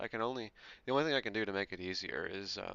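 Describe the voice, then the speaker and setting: Soft-spoken man at a very fast pace, fairly low in pitch with vocal fry and very wide pitch swings. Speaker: sim racing streamer. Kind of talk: casual live stream chat. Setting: live stream, also on voice chat. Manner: casual. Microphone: quiet, headset mic boosted.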